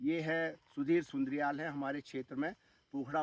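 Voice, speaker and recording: A man talks with ordinary pitch variation. His voice sounds dry and close, without echo. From Uttarakhand hills, India. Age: 60s. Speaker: retired army officer turned farmer. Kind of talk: vlog monologue. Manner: hesitant with fillers.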